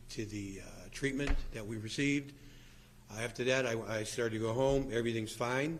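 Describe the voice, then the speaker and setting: Audible room echo around a fairly quick man's voice of medium pitch. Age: 60s. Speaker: guitarist, patient sharing treatment experience. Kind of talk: testimony at press conference. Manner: halting, repeats words.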